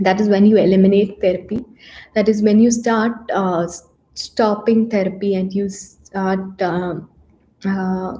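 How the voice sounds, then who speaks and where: In a Keralan accent, a woman speaks at a fairly slow pace with a dark, mellow tone, somewhat breathy and in a flat monotone. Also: medium pitch for a woman. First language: Malayalam. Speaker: psychologist giving mental health talks. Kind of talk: live stream talk. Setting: YouTube live session. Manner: hesitant, many fillers.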